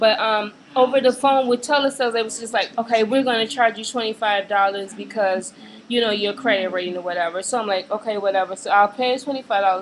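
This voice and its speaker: Someone with an American accent talks at a very fast pace. Pitch variation is ordinary, and there is noticeable background noise. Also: woman. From Chicago, US. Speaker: vlogger. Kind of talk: webcam rant. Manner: hesitant, many fillers.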